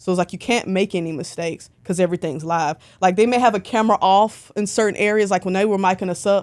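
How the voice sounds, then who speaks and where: In a Southern US accent, a woman races along at a very fast pace with hardly any pauses and an animated tone, recorded very cleanly over a silent background. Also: medium pitch for a woman. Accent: Southern twang. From Alabama, Birmingham. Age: 20s. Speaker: concert photographer. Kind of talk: casual interview chat.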